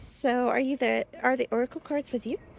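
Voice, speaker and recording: At a fairly slow pace, a woman's voice sounds dry and close with no echo, though noticeable background noise is present. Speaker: vtuber streamer. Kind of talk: gameplay commentary. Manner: casual, animated.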